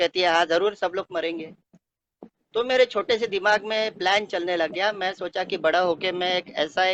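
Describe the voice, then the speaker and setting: Here a man speaks at a high pitch with a Konkani accent. Pitch variation is ordinary, and the sound is dry and close with no echo. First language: Konkani (speaking Hindi). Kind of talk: testimony. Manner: halting, many filler sounds.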